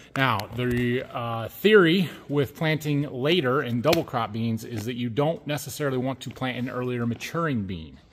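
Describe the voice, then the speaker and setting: A man talks with lively intonation. Light background noise is present. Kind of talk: casual vlog chat. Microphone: phone near.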